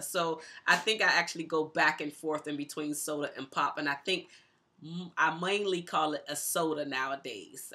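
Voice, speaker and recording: A woman speaks fairly quickly in a very deep, low voice with a bright, sharp tone. Her pitch varies in an ordinary way. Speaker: YouTuber. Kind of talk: casual talk to camera. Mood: cheerful, relaxed. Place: home room.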